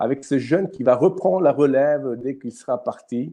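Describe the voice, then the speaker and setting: A man speaks with an Italian accent at a fairly slow pace. His tone is dark and mellow. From Italy. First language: Italian (speaking French). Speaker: youth ministry host. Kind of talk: live stream talk. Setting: live online stream. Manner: halting, many fillers and repetitions.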